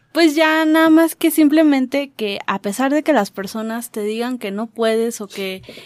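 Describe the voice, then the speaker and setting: A woman speaks at a high pitch and a fairly slow pace, with lively intonation and hardly any pauses. The sound is dry and close with no echo. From Mexico. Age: 20s. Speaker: radio show's sound operator. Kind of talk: casual chat.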